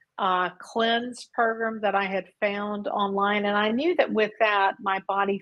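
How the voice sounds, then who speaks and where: An unremarkable speaking voice moves at a fairly slow pace. There are hardly any pauses. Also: woman. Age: 60s. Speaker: coaching client. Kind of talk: interview.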